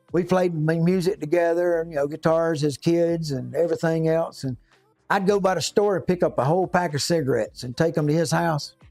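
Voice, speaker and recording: With music in the background, a high-pitched man talks at a fairly quick pace and fairly even intonation. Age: 60s. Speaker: YouTube livestreamer, DIY fixer. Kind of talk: casual chat. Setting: workshop livestream. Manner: halting.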